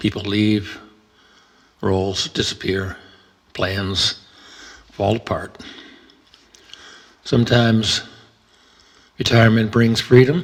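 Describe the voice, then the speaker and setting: Calm in tone, a man speaks very slowly at a fairly low pitch with fairly even intonation and long, frequent pauses, over noticeable background noise. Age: 70s. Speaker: retired entrepreneur. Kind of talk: reflective talk on Buddhism and aging. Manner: calm, reflective.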